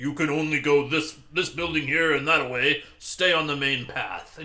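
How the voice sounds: A man uses a put-on character voice at fairly high pitch. He keeps a moderate pace with monotone, flat intonation.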